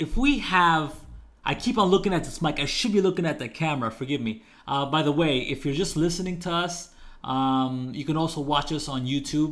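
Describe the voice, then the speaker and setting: At a fairly quick pace, an unremarkable speaking voice moves with ordinary pitch variation. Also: man, fairly high pitch for a man. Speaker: podcast host. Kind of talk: casual chat.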